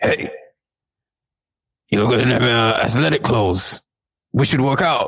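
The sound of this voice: A man's raspy, gruff put-on character voice at medium pitch, at a moderate pace with long, frequent pauses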